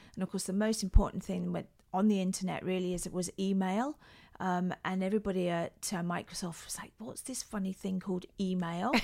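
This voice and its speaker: On a very clean recording with a silent background, a woman in a Scottish accent speaks at a fairly quick pace with a dark, mellow tone, medium pitch, fairly even intonation and big swings in loudness. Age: 50s. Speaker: handbag designer and former tech CEO. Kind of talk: interview.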